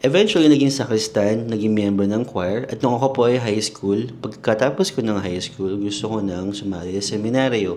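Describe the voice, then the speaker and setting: With audible room echo, a man of fairly low pitch talks at a moderate pace with ordinary pitch variation. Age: 30s. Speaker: comedian and content creator. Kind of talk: casual personal monologue podcast. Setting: sitting on a toilet.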